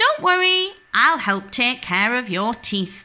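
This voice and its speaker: A woman uses a put-on character voice with a high pitch and very wide pitch swings. She speaks at a fairly slow pace. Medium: read story.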